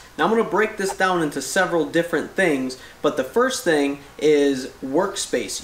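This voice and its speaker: Moderate pace from a man, audible room echo, and light background noise behind. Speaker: DIY host. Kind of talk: tutorial. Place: garage. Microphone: camera far.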